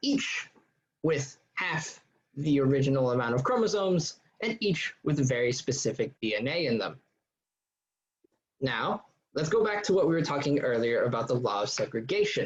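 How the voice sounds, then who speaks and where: Speaking at a moderate pace with long, frequent pauses, a man uses lively intonation in a fairly high, somewhat breathy voice. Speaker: student tutor. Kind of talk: tutorial.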